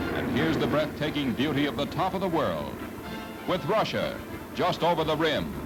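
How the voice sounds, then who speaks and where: A man with an American accent and a fairly high pitch, at a moderate pace with ordinary pitch variation, music in the background. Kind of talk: vintage newsreel narration.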